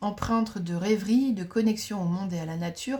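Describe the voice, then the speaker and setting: A somewhat breathy woman's voice, dark and mellow in tone, at medium pitch with ordinary pitch variation. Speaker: astrologer. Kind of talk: lecture. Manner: fast.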